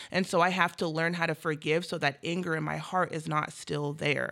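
Using a very deep, low pitch and ordinary pitch variation, a woman with an American accent speaks at a fairly quick pace. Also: very clean recording, silent background. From Washington State, US Pacific Northwest (Federal Way). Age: 20s. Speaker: youth peer support worker. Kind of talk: interview conversation.

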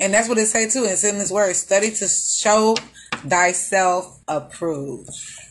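Over noticeable background noise, a woman with an American accent talks at a fairly slow pace with ordinary pitch variation. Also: medium pitch for a woman. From Houston, Texas. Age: 30s. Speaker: podcast host. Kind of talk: casual chat.

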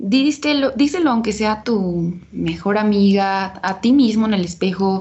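A woman's fairly high voice sounds somewhat breathy and shows ordinary pitch variation. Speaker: podcast co-host. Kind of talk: casual chat.

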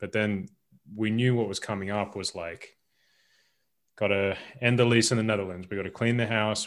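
A man speaks in an Australian accent at a moderate pace. The recording is very clean, with a silent background. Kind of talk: casual chat.

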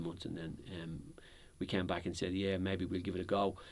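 Speaking with a Dublin accent, this man has a very deep, low pitch. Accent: Dublin Irish. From Dublin, Ireland (Crumlin, working class). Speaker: property company executive. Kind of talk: interview.

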